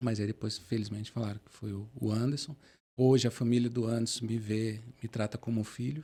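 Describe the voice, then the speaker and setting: At a fairly quick pace, a man with a medium pitch speaks in a monotone, flat intonation, his tone dark, mellow and somewhat breathy. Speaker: motivational speaker, wheelchair user. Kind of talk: podcast interview, personal testimony.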